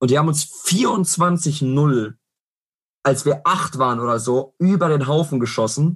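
A man's somewhat breathy, fairly high-pitched voice at a very slow pace, with ordinary pitch variation and very even loudness. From Ruhr area, Germany (Herne). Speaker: football fan guest. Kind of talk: casual chat.

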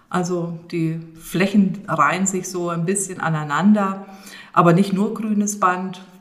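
A woman speaks at a medium pitch and a very slow pace, her intonation flat and monotone. Room echo is audible, and there is noticeable background noise. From Rhön region, Germany. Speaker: landscape conservation manager. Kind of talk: interview. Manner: halting, many fillers.

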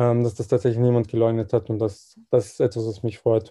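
At a very fast pace, a man speaks in a medium pitch with a dark, mellow tone, a somewhat breathy quality and a monotone, flat intonation. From Austria, Vienna. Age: 20s. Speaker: volunteer. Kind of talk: interview.

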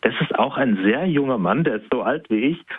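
A man talks at a moderate pace with a medium pitch and ordinary pitch variation. His is a normal speaking voice. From southwestern Germany. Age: 30s. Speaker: self-employed coach. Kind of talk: interview.

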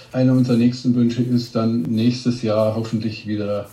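With fairly even intonation, a man speaks at a moderate pace, his voice picking up audible room echo. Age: 50s. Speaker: restaurant ranking blogger. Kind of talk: interview.

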